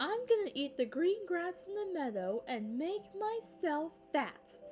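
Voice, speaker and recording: A woman uses a put-on character voice, high-pitched with very wide pitch swings. She goes at a fairly slow pace with clear music in the background. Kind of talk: bedtime story. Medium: read story.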